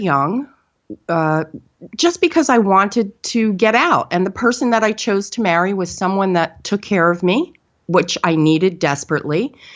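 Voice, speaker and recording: A woman with a plain, everyday voice speaks at a medium pitch with lively intonation. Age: 50s. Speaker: spiritual teacher, guest on a health podcast. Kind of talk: personal testimony in an interview.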